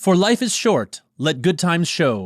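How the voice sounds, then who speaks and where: Putting on a character voice, a man speaks at a high pitch and a fairly slow pace with very wide pitch swings, in a dry, close sound with no echo on a very clean recording with a silent background. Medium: read story. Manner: streetwise confidence, mixing Spanish slang.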